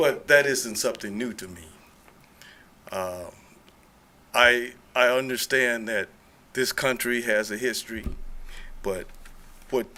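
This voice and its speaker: A man with an American accent, medium pitch, a bright, sharp tone and a fairly slow pace. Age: 60s. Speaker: public commenter, retired deacon. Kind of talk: public comment at city meeting. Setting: city commission meeting. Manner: earnest, halting.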